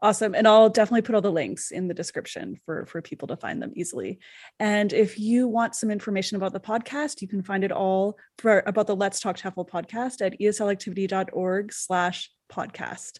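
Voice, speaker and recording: An ordinary speaking voice: a woman at medium pitch with ordinary pitch variation talks at a fairly quick pace in a very clean recording with a silent background. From Canada. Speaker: podcast host. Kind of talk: interview.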